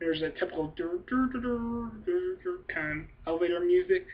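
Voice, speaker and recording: This woman's voice has ordinary pitch variation. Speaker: YouTube movie reviewer. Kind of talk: casual video review. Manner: fast and hyper; animated. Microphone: poor webcam recording.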